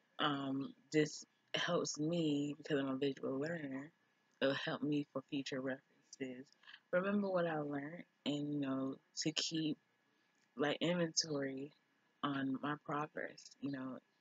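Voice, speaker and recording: A woman with a slight Jamaican accent and a very deep, low voice speaks at a fairly slow pace with fairly even intonation and long, frequent pauses. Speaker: business student vlogger. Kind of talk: reading aloud from a textbook. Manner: occasional stumbles over words.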